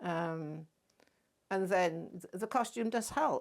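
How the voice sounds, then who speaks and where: In an English accent, a woman talks at medium pitch. Her pitch variation is ordinary. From England. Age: 80s+. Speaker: wardrobe mistress and amateur actor. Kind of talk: interview. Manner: halting.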